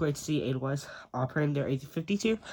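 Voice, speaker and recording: Lively intonation runs through this somewhat breathy voice. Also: man. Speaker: model airport hobbyist youtuber. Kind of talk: casual video tour. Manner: hesitant, many fillers.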